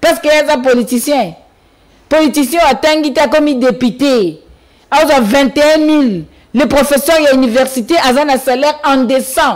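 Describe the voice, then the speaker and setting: A woman with a high voice speaks at a fairly slow pace, with long, frequent pauses. The background is quiet. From DR Congo. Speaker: party spokesperson. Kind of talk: political talk show. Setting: TV studio. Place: studio. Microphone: studio mic.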